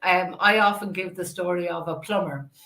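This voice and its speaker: This woman speaks with an Irish accent. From Ireland. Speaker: podcast host. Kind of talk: interview.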